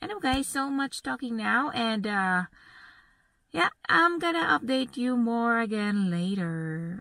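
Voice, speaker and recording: A woman speaks at a fairly slow pace. The sound is dry with no echo, and the background is quiet. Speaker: travel vlogger. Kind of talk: casual vlog chat. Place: car. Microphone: phone near.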